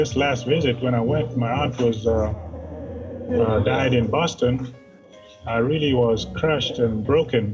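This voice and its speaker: A man talks at a very slow pace and medium pitch, with ordinary pitch variation and very even loudness. Music plays in the background. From Kenya. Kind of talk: interview answer.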